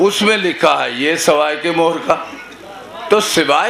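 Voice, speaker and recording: A man talks with a high pitch and lively intonation. Audible room echo and noticeable background noise surround him. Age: 60s. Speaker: religious preacher. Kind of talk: sermon.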